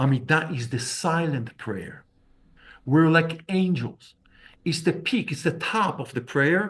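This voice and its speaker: Using lively intonation, a man speaks with an Israeli accent. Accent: non-native English, Israeli. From Israel, Tel Aviv. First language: Hebrew. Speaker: rabbi and Kabbalah teacher. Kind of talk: lecture. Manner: halting.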